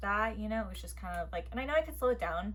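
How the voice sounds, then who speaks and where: A woman is speaking over noticeable background noise. The room echo is audible. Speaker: book reviewer. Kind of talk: casual chat. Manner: fast.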